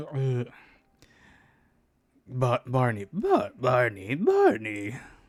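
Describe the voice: This man's medium-pitched voice is a put-on character voice. His delivery is very slow.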